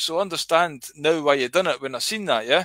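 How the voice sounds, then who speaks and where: Against a quiet background, a man with a Scottish accent speaks at a fairly quick pace in a bright, sharp tone, the sound dry with no echo. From Scotland. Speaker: livestreamer. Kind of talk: casual rambling livestream. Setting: online livestream. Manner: rambling, casual, sweary. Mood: sardonic, ranting. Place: home room. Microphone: headset.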